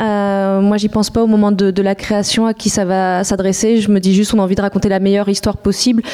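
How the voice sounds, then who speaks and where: Very fast, flat, monotone delivery with hardly any pauses and very even loudness. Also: woman, medium pitch for a woman. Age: 30s. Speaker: comics editor. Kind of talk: panel discussion.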